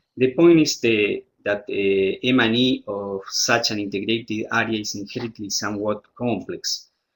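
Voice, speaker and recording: A man's medium-pitched voice at a moderate pace, with ordinary pitch variation and hardly any pauses. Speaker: disaster risk reduction specialist presenting a study. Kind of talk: webinar presentation. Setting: online webinar. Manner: hesitant, many fillers.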